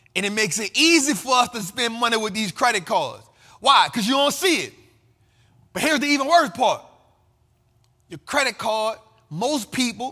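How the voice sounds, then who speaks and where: A man speaks with a passionate tone in a raised, projected voice, extremely high-pitched, bright and sharp. He keeps a moderate pace with long, frequent pauses, on a very clean recording with a silent background. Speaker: finance and investing commentator host. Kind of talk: casual talk to camera, motivational financial commentary. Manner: passionate, emphatic, conversational.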